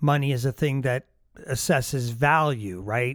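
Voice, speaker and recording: A man with a medium pitch speaks at a moderate pace, his pitch varying in an ordinary way. The recording is very clean with a silent background, and the sound is dry and close with no echo. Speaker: podcast host and piano teacher. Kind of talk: casual monologue. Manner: animated.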